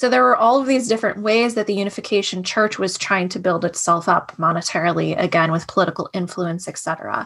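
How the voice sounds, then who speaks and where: A woman's medium-pitched, ordinary speaking voice with hardly any pauses. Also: ordinary pitch variation. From US, Washington D.C. area. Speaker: artist and former cult member. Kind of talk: interview about life experience.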